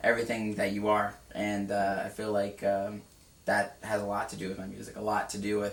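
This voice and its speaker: Through noticeable background noise, a man with a fairly low pitch speaks at a fairly quick pace in a monotone, flat intonation. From California. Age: 20s. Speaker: musician. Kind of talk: interview. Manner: monotone, mellow; halting.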